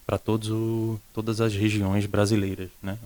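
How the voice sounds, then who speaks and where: In a Pernambuco accent, a man speaks at a fairly slow pace. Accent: Pernambuco northeastern Brazilian. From Recife, northeast Brazil. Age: young. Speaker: school director. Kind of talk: interview. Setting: studio.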